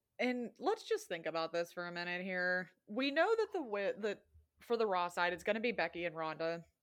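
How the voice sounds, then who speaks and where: A woman has an unremarkable speaking voice with a medium pitch. She talks at a moderate pace with ordinary pitch variation. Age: 20s. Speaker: wrestling podcast co-host. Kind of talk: casual chat.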